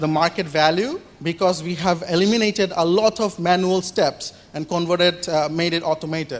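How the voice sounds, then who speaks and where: Speech moves along fairly quickly. Background noise is noticeable throughout. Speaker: startup founder pitching. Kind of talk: Q&A after startup pitch. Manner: loud; hesitant, many fillers.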